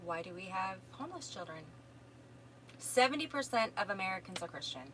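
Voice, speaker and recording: With a Minnesotan accent, a woman speaks at a moderate pace and a medium pitch. Her pitch swings very widely. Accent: Minnesota. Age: 50s. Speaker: self-help course teacher and energy healer. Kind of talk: live stream answering viewer questions. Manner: casual, conversational.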